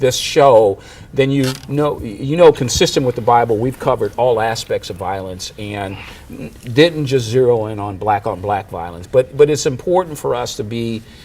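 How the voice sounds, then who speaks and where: Amid noticeable background noise, a man with an American accent speaks at a moderate pace and medium pitch, with ordinary pitch variation and big swings in loudness. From Chicago, US Midwest. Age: 60s. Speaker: pastor and show host. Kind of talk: discussion show interview. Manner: halting, many fillers and restarts.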